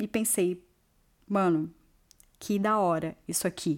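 A woman with a São Paulo accent, on a very clean recording with a silent background. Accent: Brazilian Portuguese, São Paulo. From Brazil, São Paulo. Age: 30s. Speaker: immigrant hairdresser and DJ. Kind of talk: personal testimony.

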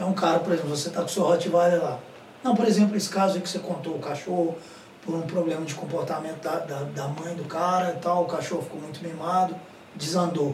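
In a room with audible echo and noticeable background noise, a high-pitched man talks at a fairly quick pace with fairly even intonation. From Minas Gerais, Brazil. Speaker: podcast co-host. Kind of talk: casual chat.

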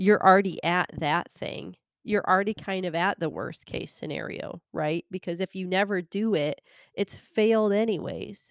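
A woman with a plain, everyday voice speaks at a moderate pace and medium pitch, her intonation fairly even. The sound is dry and close with no echo, in a very clean recording with a silent background. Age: 30s. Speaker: podcast host and elementary teacher. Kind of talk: solo monologue podcast. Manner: conversational with frequent filler words.

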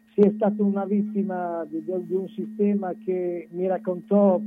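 His voice is high-pitched. A man talks at a fairly slow rate. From Romagna, Italy. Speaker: singer-songwriter. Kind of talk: casual radio interview.

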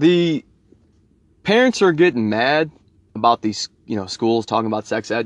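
The intonation is lively and the pace moderate. The sound is dry and close, with no echo. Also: man. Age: 30s. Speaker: podcast host. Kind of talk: casual solo monologue. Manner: halting.

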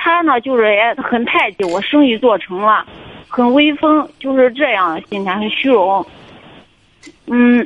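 The pace is fairly slow, with lively intonation and long, frequent pauses. Background noise is noticeable. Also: woman, high pitch for a woman. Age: 30s. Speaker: caller seeking marriage advice. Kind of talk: call-in advice conversation. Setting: phone call. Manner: halting, many fillers and repetitions.

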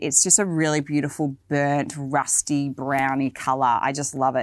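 A woman's very deep, low voice in an Australian accent, animated in tone, on a very clean recording with a silent background. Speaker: fashion video podcaster. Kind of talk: casual video podcast talk about boots. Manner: chatty, animated.

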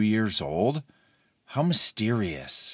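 A man with an American accent speaks at a fairly low pitch with lively intonation, a fairly bright tone and a slightly husky edge. The recording is very clean, with a silent background.

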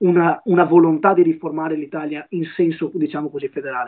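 At a fairly quick pace, a man speaks in a normal speaking voice with a fairly high pitch. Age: 20s. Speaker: young politician and law student. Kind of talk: live-stream interview.

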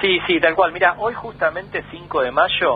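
A man's voice against noticeable background noise. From Argentina, Tandil (Buenos Aires province). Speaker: astronomer. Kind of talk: radio interview. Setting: phone call.

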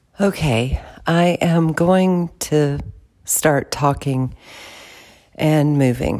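Very slowly and with long, frequent pauses, a woman speaks at a very deep, low pitch in a dark, mellow tone. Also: ordinary pitch variation. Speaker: movement facilitator and podcast host. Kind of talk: improvised guided movement narration. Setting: room in her house. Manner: informal, with audible breathing.

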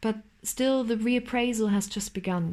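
A woman's fairly high voice with a German accent, fairly slow and fairly even in intonation. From East Germany. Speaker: student. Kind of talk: scripted narration.

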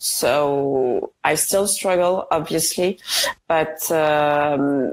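A woman speaks in a French accent with a very deep, low pitch. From France. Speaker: guest with chronic illness. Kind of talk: casual interview chat. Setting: video call from India.

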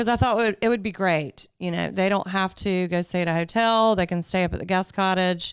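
A woman with a Southern US accent speaks at a fairly quick pace with hardly any pauses and fairly even intonation, in a very clean recording with a silent background. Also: medium pitch for a woman. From US South, Greenville, South Carolina. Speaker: wedding venue owner. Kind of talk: casual chat.

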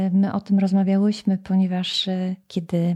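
A woman speaks very slowly at a medium pitch, her tone dark and mellow and somewhat breathy, on a very clean recording with a silent background. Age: 50s. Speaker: podcast host, leadership coach. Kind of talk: interview.

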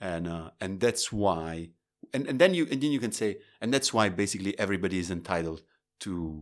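A man with a very deep, low pitch and lively intonation, against a quiet background. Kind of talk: casual discussion.

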